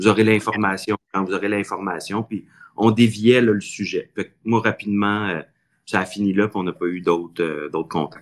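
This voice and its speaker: With an unremarkable speaking voice, a man talks at a fairly slow pace and a fairly low pitch. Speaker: city mayor. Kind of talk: podcast interview.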